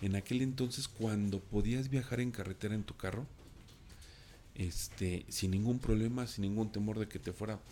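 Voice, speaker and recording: A man speaks in a fairly low register at a moderate pace. His pitch varies in an ordinary way. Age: 40s. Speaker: storyteller guest. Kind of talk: personal anecdote telling. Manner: halting, many fillers and repetitions.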